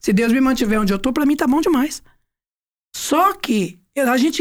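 A woman speaks at a moderate pace in a high voice, her pitch swinging very widely while her loudness stays very even. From Goiás, Brazil (Goiânia). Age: 60s. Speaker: songwriter and singer. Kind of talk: casual interview chat.

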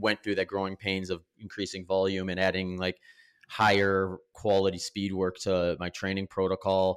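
With an American accent and a plain, everyday voice, a man speaks at a fairly quick pace and a fairly low pitch in a very clean recording with a silent background. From US Midwest, Wisconsin. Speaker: professional ultramarathon runner. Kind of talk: interview.

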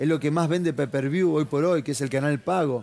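Fairly high in pitch, a man speaks at a fairly quick pace. His tone is dark and mellow, his intonation fairly even. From Argentina, La Plata. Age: 30s. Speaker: mixed martial arts fighter. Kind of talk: interview.

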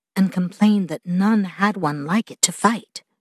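A woman speaks at a medium pitch and a fairly slow pace, somewhat breathy, with lively intonation, in a dry, close sound with no echo against a quiet background. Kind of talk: audiobook narration. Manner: measured, storytelling pace, expressive.

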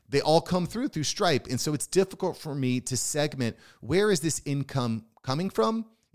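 With lively intonation and an animated tone, a man talks at a moderate pace in a fairly high pitch, on a very clean recording with a silent background and a dry, close sound with no echo. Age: 40s. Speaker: podcast host and self-employed business owner. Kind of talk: solo podcast monologue.

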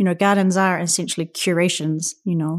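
Monotone and flat, a woman with a New Zealand accent speaks at a medium pitch and fairly quick pace in a dry, close recording with no echo, very clean with a silent background. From New Zealand, Auckland. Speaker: photographer and artist. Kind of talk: interview. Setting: in-person recording.

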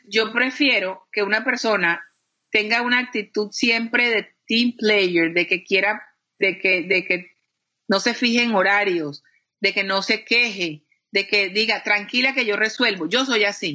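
In a normal speaking voice, a woman talks at a fairly slow pace with fairly high pitch, ordinary pitch variation and very even loudness. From Colombia, Cartagena. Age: 50s. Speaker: TV executive producer and journalist. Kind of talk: interview conversation. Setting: video call.

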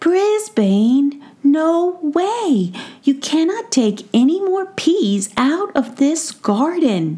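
In a put-on character voice, a woman's high pitch swings very widely as she drags her words out very slowly. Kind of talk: bedtime story. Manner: earnest, serious, a little shy.

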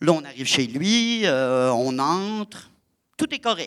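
This man talks at a very slow pace with a fairly high pitch. His pitch swings very widely. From Quebec, Lac-Saint-Jean. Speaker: storyteller and theatre performer. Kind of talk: live storytelling performance. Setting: stage with audience.

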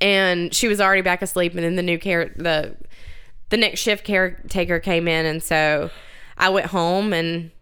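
With an ordinary speaking voice, a woman talks at a moderate pace in a fairly low pitch, her intonation fairly even. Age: 30s. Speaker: podcast host. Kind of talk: casual chat.

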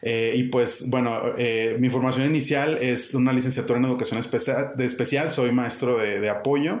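Over noticeable background noise and audible room echo, a man speaks at a moderate pace with a medium pitch, very even loudness and fairly even intonation. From Mexico, Monterrey. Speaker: educator, head of an education nonprofit. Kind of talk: interview.

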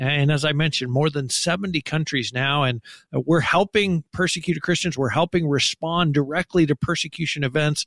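Fairly high for a man, this is an ordinary speaking voice with very even loudness and fairly even intonation at a fairly quick pace. The sound is dry and close with no echo, in a very clean recording with a silent background. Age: 50s. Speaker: ministry spokesperson. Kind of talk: radio interview.

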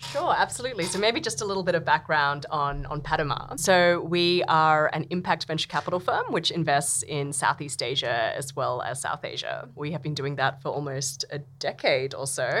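Over noticeable background noise, a woman with an Australian accent speaks at a moderate pace with a very deep, low pitch, ordinary pitch variation and hardly any pauses. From Australia (Sydney). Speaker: venture capital partner. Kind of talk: interview conversation. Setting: studio.

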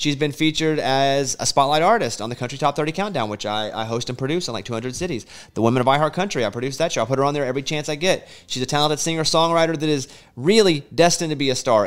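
A man with an American accent speaks very fast in a fairly high voice with lively intonation, on a very clean recording with a silent background. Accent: slight Southern accent, mostly trained away. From US South, Arkansas. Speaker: radio host. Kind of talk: casual interview. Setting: studio.

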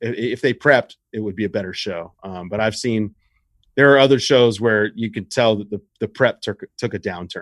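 A man's fairly low, normal speaking voice with an American accent and ordinary pitch variation, dry and close with no echo. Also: moderate pace. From US South, Richmond, Virginia. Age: 30s. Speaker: basketball writer and former pro wrestler. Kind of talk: casual chat.

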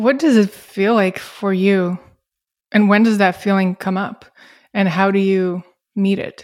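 With a non-native accent, a woman speaks at a fairly slow pace and medium pitch, her intonation fairly even and broken by long, frequent pauses. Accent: foreign-accented English. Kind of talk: casual interview conversation.

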